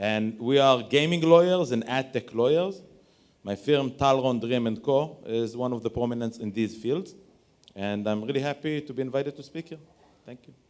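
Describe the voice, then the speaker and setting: With an Israeli accent, a man talks at a moderate pace and medium pitch, with ordinary pitch variation and big swings in loudness. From Israel, Tel Aviv. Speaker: lawyer. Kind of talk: panel discussion.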